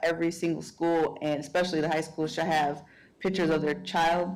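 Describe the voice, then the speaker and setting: A woman is speaking. Room echo is audible. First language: Spanish. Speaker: school board member. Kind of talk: board meeting questions. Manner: halting.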